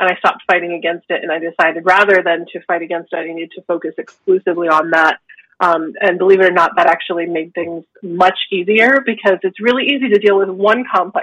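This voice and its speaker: A woman's ordinary speaking voice at medium pitch, fairly quick, with ordinary pitch variation, big swings in loudness and a dry, close sound with no echo. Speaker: naturopathic doctor. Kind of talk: interview.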